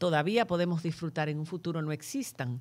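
On a very clean recording with a silent background, a woman with an unremarkable speaking voice talks at a moderate pace and fairly low pitch. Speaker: podcast host. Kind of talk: moderated panel discussion.

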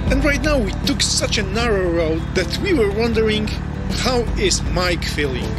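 A man talks over loud music in the background. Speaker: motorcycle rider vlogger. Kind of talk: casual vlog commentary. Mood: cheerful, relaxed. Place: motorbike. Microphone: helmet.

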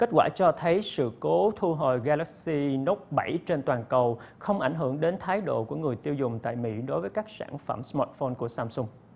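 A man with a fairly high pitch and a slightly mellow tone talks at a fairly quick pace with vocal fry. His intonation is lively.

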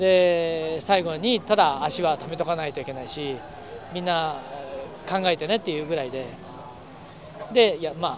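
Over light background noise, a man with a high pitch talks at a fairly slow pace with long, frequent pauses, ordinary pitch variation and big swings in loudness, in a dry sound with no echo. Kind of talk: interview answer. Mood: relaxed, good-humored. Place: street.

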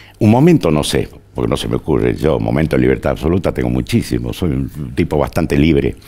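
With a very deep, low pitch and ordinary pitch variation, a man speaks at a very fast pace. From Argentina, Tucumán; Argentina. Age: 70s. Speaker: journalist and historian; journalist. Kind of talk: interview. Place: studio.

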